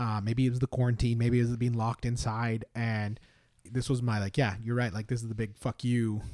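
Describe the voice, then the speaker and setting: Delivering his words at a fairly quick pace, a man with a Canadian accent and a dark, mellow tone keeps a monotone, flat intonation. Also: medium pitch for a man. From northern British Columbia. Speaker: playwright and lyricist. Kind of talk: casual chat.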